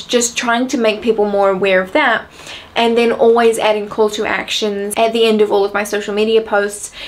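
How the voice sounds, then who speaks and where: Against noticeable background noise, a woman with a fairly high pitch speaks with fairly even intonation. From New Zealand. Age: young. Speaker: entrepreneur. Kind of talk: casual talk to camera.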